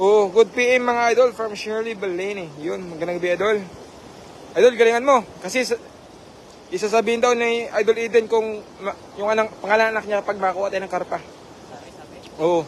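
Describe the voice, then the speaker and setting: A man with a high-pitched voice talks at a fairly quick pace, broken by long, frequent pauses, over noticeable background noise. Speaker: live stream commentator. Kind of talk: live stream commentary. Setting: live stream with viewers. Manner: animated.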